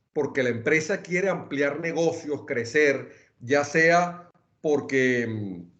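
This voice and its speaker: Using lively intonation, a man with a Venezuelan accent speaks at a fairly high pitch. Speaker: lawyer, wealth and succession planning expert. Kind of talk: webinar talk. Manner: hesitant restarts.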